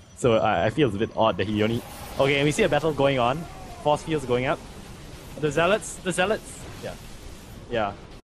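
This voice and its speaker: Over background music, a man with a fairly high pitch and lively intonation talks at a fairly quick pace, with long, frequent pauses. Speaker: game caster. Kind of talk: live commentary. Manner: fast; words slurred together.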